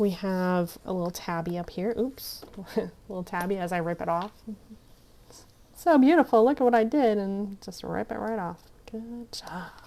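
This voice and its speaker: Mumbling from a woman, medium pitch with ordinary pitch variation, at a moderate pace. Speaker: craft youtuber. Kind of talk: crafting tutorial. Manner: casual, chatty.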